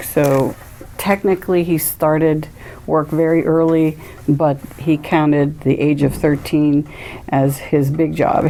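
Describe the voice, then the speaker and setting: Noticeable background noise sits under the speech. The delivery is very slow, with monotone, flat intonation. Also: woman. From Weirton, West Virginia. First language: Greek. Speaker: librarian and community radio host interviewed about food heritage. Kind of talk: oral history interview. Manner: conversational, with fillers.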